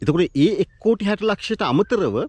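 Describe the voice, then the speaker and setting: Very slow speech from a man, high-pitched with very wide pitch swings, in dry sound with no echo. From Sri Lanka. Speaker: YouTube vlogger. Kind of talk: video monologue on language and politics. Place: open country. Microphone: phone near.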